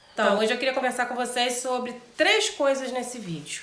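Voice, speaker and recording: Audible room echo surrounds the voice. Noticeable background noise is present too. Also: woman. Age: 40s. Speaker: vlogger. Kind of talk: personal vlog talk. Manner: conversational.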